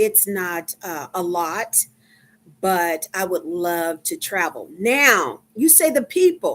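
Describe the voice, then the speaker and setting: A woman with a Texan accent, medium pitch, very wide pitch swings and a very slow pace. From Texas, Dallas. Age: 50s. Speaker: livestreamer, medical worker. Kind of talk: casual livestream chat. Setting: live stream. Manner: halting, many fillers.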